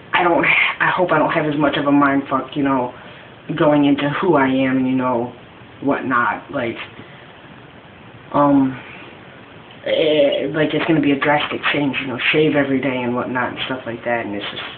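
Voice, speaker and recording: A man's fairly high voice at a moderate pace, with fairly even intonation and long, frequent pauses, amid noticeable background noise and audible room echo. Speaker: vlogger documenting gender transition. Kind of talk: casual video diary. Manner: halting, many fillers.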